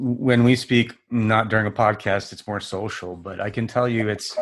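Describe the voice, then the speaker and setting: An unremarkable speaking voice from a man, fairly low in pitch, with fairly even intonation at a fairly slow pace. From US. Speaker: podcast host. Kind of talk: podcast interview. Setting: video call.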